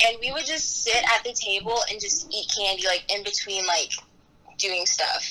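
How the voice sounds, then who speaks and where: Over noticeable background noise, a woman's lively intonation comes through. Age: young. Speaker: student podcaster. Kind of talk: casual chat.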